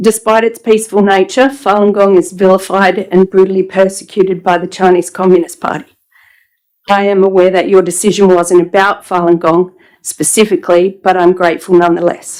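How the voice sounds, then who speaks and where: A woman's shaky, medium-pitched voice in an Australian accent, fairly quick in pace, with fairly even intonation. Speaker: member of the public addressing council. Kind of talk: public statement. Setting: council chamber meeting.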